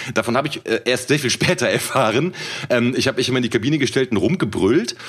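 Against noticeable background noise, a man talks at a very fast pace with a medium pitch and lively intonation. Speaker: rapper and podcast co-host. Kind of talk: casual chat.

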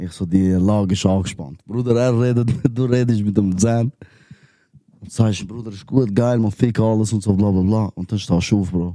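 A man's fairly low, dark and mellow voice with fairly even intonation and big swings in loudness. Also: moderate pace. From Switzerland, Wetzikon area (Zurich Oberland). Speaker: rapper. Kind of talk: casual chat.

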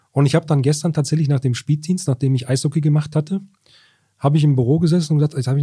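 The voice has a dark, mellow, somewhat breathy tone. It runs at a very fast pace with fairly even intonation. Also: man. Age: 40s. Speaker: sports journalist. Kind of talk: casual chat. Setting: newsroom.

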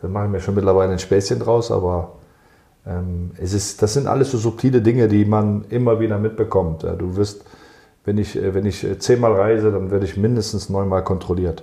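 A man talks in a plain, everyday voice at a fairly low pitch. He keeps a moderate pace with ordinary pitch variation. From Germany. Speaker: football club sports director. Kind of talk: interview.

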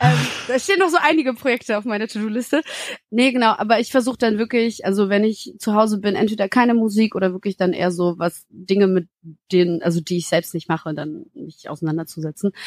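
A woman with a medium pitch talks at a very fast pace, animated in tone with lively intonation. The sound is dry and close, with no echo. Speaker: singer-songwriter. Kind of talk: casual interview chat.

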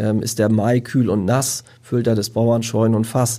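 Moving fairly quickly, the speaker uses a dark, mellow tone with fairly even intonation. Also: man. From northern Germany, Lüneburg Heath. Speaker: professional gardener. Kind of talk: casual chat.

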